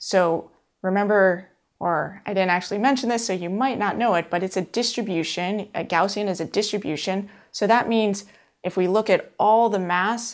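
Over a quiet background, a woman speaks at a moderate pace with fairly even intonation. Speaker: course instructor. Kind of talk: lecture. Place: studio.

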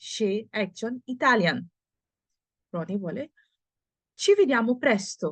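Her voice is fairly high and somewhat breathy, and this woman speaks with lively intonation. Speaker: Italian language teacher. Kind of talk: language lesson reading dialogue aloud.

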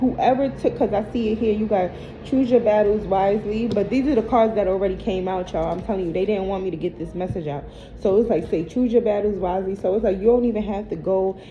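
With light background noise, a woman speaks at a very fast pace. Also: ordinary pitch variation. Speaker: tarot card reader. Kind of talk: casual reading commentary to viewers. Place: home room. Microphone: phone near.

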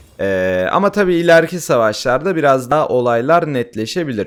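A man at a medium pitch swings his voice very widely up and down, recorded very cleanly against a silent background. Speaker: gaming YouTuber and streamer. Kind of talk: gameplay tutorial. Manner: hesitant fillers.

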